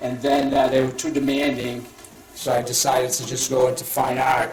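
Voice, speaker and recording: Moderate pace, a strong Boston accent, audible room echo and noticeable background noise. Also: man. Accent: heavy Boston. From Boston area, US. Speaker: painter. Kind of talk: art demonstration talk.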